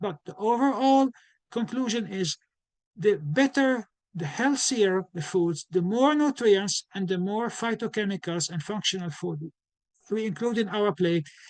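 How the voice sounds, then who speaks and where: At a moderate pace, a man with a slight non-native accent talks in a high pitch with ordinary pitch variation, the sound dry and close with no echo over a quiet background. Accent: slight foreign. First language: not English. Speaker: physician and nutrition educator. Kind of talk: lecture. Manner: halting, many restarts.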